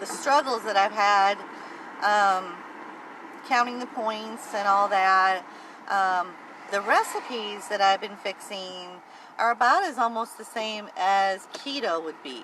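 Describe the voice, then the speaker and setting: A woman with a medium-pitched voice speaks at a fairly slow pace with long, frequent pauses. Her loudness swings widely, and noticeable background noise runs underneath. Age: 50s. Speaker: weight-loss vlogger. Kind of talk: casual vlog monologue. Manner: hesitant, many fillers.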